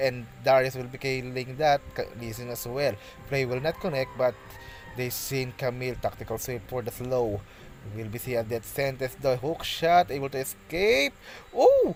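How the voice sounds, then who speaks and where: A man speaks at a moderate pace with a medium-pitched voice and ordinary pitch variation, over noticeable background noise. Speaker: esports shoutcaster. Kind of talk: live commentary. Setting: solo practice cast. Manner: halting, many fillers and restarts.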